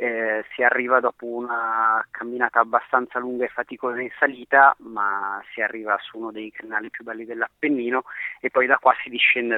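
A man talks at a fairly quick pace in a monotone, flat intonation. His loudness swings a lot. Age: 30s. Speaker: hiking route host, mountain resident. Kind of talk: interview.

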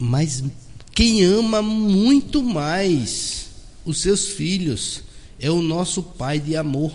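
Pitched high for a man, this male voice moves at a very slow pace with lively intonation, and room echo is audible. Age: 40s. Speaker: doctor and spiritist speaker. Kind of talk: radio interview.

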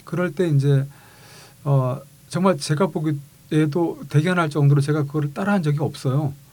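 At a fairly slow pace, a man talks in a dark, mellow tone with a fairly high pitch. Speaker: car designer and university vice president. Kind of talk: interview chat.

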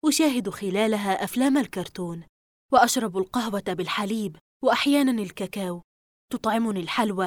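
This is a natural reading voice set against a quiet background.

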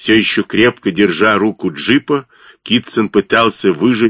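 Natural-voiced reading aloud.

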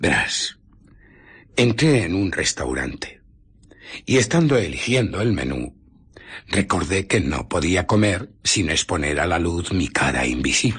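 A man's low, husky, rough put-on character voice, fairly bright, with big pitch swings at a fairly slow pace

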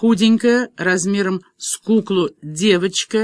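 The background stays quiet while someone is reading aloud in a natural voice, the intonation fairly even.

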